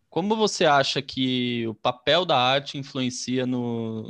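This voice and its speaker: Against a quiet background, a man is heard. He talks at a very slow pace. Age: 30s. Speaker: podcast host. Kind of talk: casual interview.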